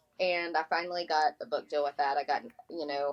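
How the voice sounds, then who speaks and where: A woman speaks with a very deep, low pitch in an Appalachian accent. Her intonation stays fairly even. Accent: Southern US (Appalachian). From Appalachia, North Carolina. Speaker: author and magazine editor. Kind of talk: interview.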